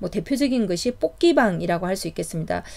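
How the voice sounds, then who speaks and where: A woman speaks in a Gyeongsang accent at a moderate pace. Her pitch swings very widely. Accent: Gyeongsang (southeastern Korea). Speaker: startup business consultant. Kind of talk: lecture. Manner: casual with fillers and self-corrections.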